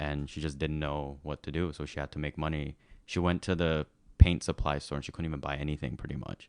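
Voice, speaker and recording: Delivered at a fairly quick pace in an American accent, the monotone, flat speech has a dry, close sound with no echo over a quiet background. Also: man. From Shanghai, China. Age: 20s. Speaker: watch social media personality. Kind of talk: interview. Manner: casual, many fillers.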